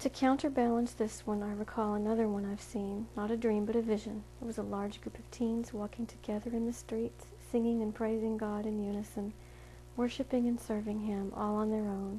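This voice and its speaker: A woman speaks fairly quickly in a fairly high pitch. Her intonation is monotone and flat. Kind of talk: reading aloud.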